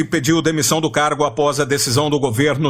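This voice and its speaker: Noticeable background noise surrounds a man's voice. He speaks at a moderate pace with a fairly high pitch. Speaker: radio journalist, announcer. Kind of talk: radio news bulletin read.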